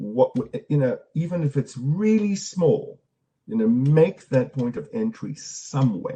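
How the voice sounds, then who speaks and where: A somewhat breathy voice with a dark, mellow tone moves at a fairly slow pace through very wide pitch swings. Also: man, fairly high pitch for a man. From South Africa. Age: 60s. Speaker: storytelling practitioner and speaker. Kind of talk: online conference Q&A. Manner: halting, with frequent repetitions.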